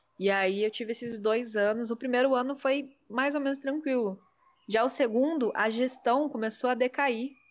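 Fairly even intonation from a woman with a high voice at a moderate pace against a quiet background. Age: 20s. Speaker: psychoanalyst. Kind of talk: casual chat.

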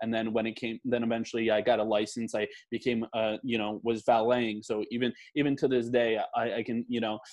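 In a New Jersey accent, a man talks with monotone, flat intonation. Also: medium pitch for a man, fairly quick pace, quiet background. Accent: New Jersey American. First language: Polish. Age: 20s. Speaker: aspiring chef. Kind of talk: casual chat.

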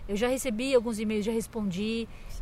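A woman talks at a fairly quick pace in a fairly high pitch. It is an unremarkable speaking voice. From Brazil, Santa Catarina. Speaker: podcast host, musician. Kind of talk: casual interview chat. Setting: outdoors in a park.

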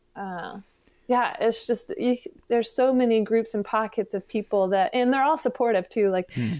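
Heard in a very clean recording with a silent background, a woman with an unremarkable speaking voice and an American accent speaks at a moderate pace. Her pitch is fairly high, with ordinary variation. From West Virginia. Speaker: independent musician. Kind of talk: casual interview.

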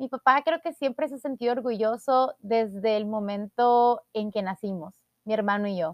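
Using an ordinary speaking voice, a woman talks at a fairly slow pace, her fairly high pitch showing ordinary variation. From El Salvador. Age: 20s. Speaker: podcast host, beauty queen. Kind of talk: personal monologue podcast.

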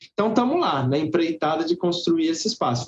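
The speaker is a man. His pitch is high. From Brazil, Guarulhos (São Paulo). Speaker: circus actor and theatre teacher. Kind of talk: interview chat.

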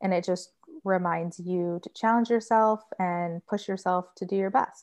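A woman with a medium pitch and an American accent, fairly even intonation, an ordinary speaking voice, and a quiet background. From US Midwest (Michigan). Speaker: vegan food blogger and recipe developer. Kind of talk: casual interview.

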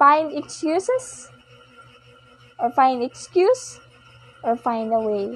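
Soft-spoken and very slow, a woman talks with long, frequent pauses. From Philippines. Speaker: podcast host. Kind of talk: personal monologue. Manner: halting.

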